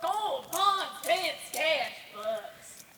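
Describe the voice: A woman's put-on character voice, high-pitched, bright and sharp, with big pitch swings and a very slow pace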